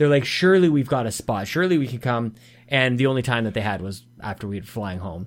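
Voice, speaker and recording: Very fast and with lively intonation, a man speaks at a medium pitch in a Canadian accent. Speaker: gaming podcast co-host. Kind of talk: casual chat. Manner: animated.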